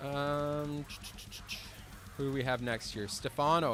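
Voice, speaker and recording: A man with a fairly high pitch speaks while music plays in the background. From French Canada. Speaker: drum teacher and drummer. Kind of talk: live stream Q&A chat. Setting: drum studio live stream. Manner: casual, filler-heavy.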